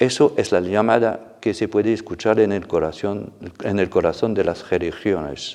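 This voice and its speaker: The speaker has a non-native accent and a dark, mellow tone, using ordinary pitch variation over a quiet background. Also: man, fairly low pitch for a man, moderate pace. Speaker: church official. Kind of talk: formal address.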